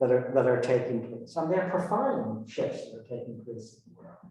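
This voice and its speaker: A man speaks with a Northern Irish accent at a medium pitch. Audible room echo surrounds his voice. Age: 60s. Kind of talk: talk to a community group. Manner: halting, frequent repetitions.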